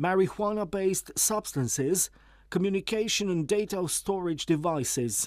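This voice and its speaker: A man with a Romanian accent speaks at a moderate pace and a high pitch, with ordinary pitch variation, on a very clean recording with a silent background. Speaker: radio presenter. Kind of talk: news report reading. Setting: studio.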